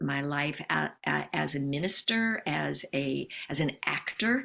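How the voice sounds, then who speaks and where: At a very slow pace, a woman speaks in a bright, sharp tone. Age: 70s. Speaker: minister and actor. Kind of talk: interview.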